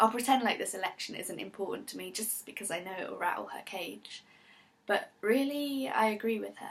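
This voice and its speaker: Speaking in a British accent, a woman uses a fairly high pitch, ordinary pitch variation and a moderate pace. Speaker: performance poet. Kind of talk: performance poetry.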